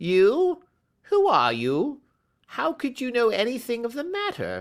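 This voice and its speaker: This put-on character voice is shaky and fairly high-pitched, at a fairly slow pace. The recording is very clean, with a silent background. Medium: read story. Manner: nervous, whining.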